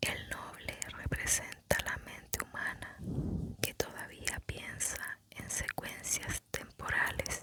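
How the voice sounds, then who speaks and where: A whisper moves along very slowly against noticeable background noise. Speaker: ASMR narrator. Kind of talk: ASMR spiritual lecture summary reading. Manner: whispered.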